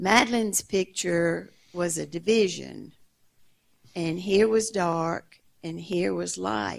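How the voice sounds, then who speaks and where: The background is quiet. A woman speaks at a very slow pace. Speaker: audience member. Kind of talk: audience question. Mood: calm, reflective storytelling. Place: stage.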